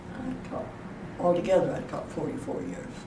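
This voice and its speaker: Over noticeable background noise and audible room echo, a woman talks at a moderate pace in an American accent. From US Midwest, west central Illinois. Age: 90s. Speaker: retired teacher. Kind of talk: interview.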